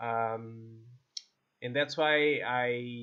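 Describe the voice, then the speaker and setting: A man speaks at medium pitch in a Portuguese accent. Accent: non-native English, Portuguese. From Portugal. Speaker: esports coach and streamer. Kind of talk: gameplay video review; sales pitch for coaching. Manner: halting, many fillers and repeats.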